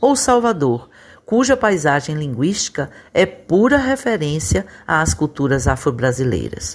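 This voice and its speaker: In a very clean recording with a silent background, a woman with a very deep, low pitch talks fairly slowly, her voice making very wide pitch swings. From Brazil. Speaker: professor, columnist. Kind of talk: scripted commentary.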